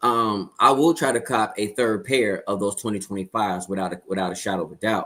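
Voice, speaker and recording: Speaking at a fairly quick pace, a man uses a medium pitch with ordinary variation. The recording is very clean, with a silent background. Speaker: sneaker show panelist. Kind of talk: casual chat. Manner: loud.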